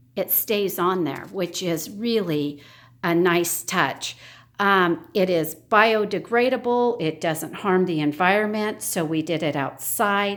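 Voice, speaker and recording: Her pitch medium, a woman speaks at a very slow pace. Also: ordinary pitch variation. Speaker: home decor video creator. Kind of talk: home tour walkthrough. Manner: hesitant fillers.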